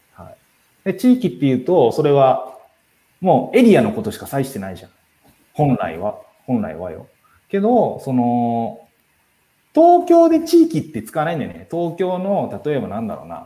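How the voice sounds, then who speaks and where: A man talks at a moderate pace in a dark, mellow tone, with very wide pitch swings and big swings in loudness. Long, frequent pauses break up his speech. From Tokyo. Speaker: live stream host, community organizer. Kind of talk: casual live stream talk. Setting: live stream.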